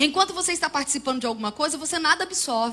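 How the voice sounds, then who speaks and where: A woman is speaking here. Her voice is raised and projected. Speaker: preacher and Bible teacher. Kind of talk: sermon. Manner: fast.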